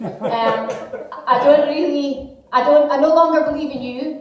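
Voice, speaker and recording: A woman with a Scottish accent is heard through audible room echo and noticeable background noise. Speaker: comedian. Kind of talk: stand-up. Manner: halting.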